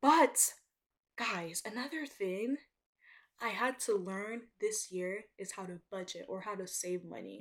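At a fairly slow pace, this woman's medium-pitched voice moves with lively intonation and big swings in loudness. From Nigeria, moved to US (Georgia) as child. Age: first-year college student, under 20s. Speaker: podcast host, college student. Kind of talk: casual solo monologue.

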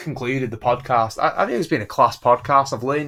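The recording is very clean, with a silent background. A man speaks in a northern English accent with fairly even intonation. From northern England. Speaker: podcast host. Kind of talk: casual chat.

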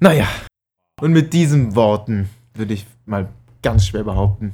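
Somewhat breathy and dark, mellow in tone, a man speaks at a moderate pace and medium pitch with lively intonation. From Palatinate, Germany. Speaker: podcast co-host. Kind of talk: casual chat.

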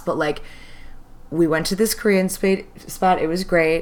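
A woman talks with an American accent at a fairly slow pace. Her pitch is medium. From US Midwest. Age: 30s. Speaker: podcast co-host. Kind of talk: casual chat. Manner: loud.

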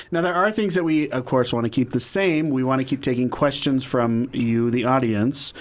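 On a very clean recording with a silent background, the voice shows ordinary pitch variation. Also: man. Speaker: podcast co-host. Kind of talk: casual chat.

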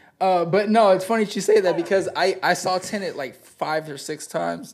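A man with an American accent talks at a fairly quick pace in a high voice with ordinary pitch variation. The recording is very clean, with a silent background. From Southern California desert. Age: 30s. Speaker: rapper. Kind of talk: casual chat.

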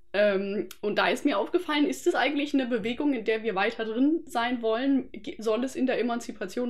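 In a normal speaking voice, a woman talks at a fairly quick pace with a fairly high pitch and lively intonation. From Germany, Freiburg area (Baden). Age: 20s. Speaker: anthropology student. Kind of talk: casual interview chat.

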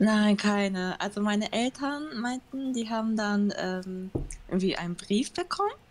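A speaker with a Japanese accent talks at a fairly slow pace, with ordinary pitch variation. Noticeable background noise runs under the voice. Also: woman, fairly high pitch for a woman. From Germany, Düsseldorf, Japanese family. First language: Japanese (speaking German). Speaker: interview guest. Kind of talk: casual interview. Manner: halting.

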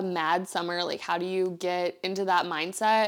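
A woman's animated tone at a moderate pace. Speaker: lifestyle podcast host. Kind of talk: casual solo chat.

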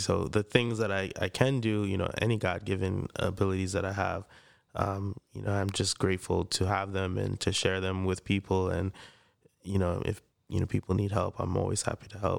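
Quiet and fairly low-pitched, a man talks at a fairly quick pace in a monotone, flat intonation. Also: very clean recording, silent background. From Freeport, Long Island, New York. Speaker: podcast co-host. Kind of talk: casual chat. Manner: quiet, reserved.

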